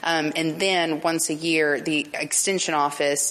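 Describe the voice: Amid faint background noise, a woman speaks at a low pitch and fairly slow pace, her tone fairly bright and her intonation fairly even.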